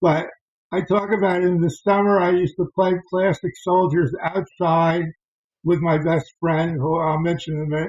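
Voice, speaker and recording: A high-pitched man at a moderate pace, with fairly even intonation. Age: 70s. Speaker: board wargame designer. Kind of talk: interview with slide presentation. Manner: halting, with many fillers.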